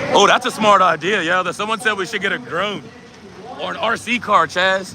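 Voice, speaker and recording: Noticeable background noise sits behind a man with a raised, projected voice, high in pitch with ordinary pitch variation. He sounds animated and talks at a fairly quick pace. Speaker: drag racing livestreamer. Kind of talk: live commentary. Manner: loud.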